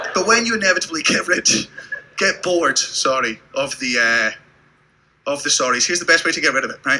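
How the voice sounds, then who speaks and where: In a British accent, the speaker leaves long, frequent pauses amid noticeable background noise. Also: man, high pitch for a man, lively intonation, fairly quick pace. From Britain. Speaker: stand-up comedian. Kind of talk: stand-up. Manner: animated.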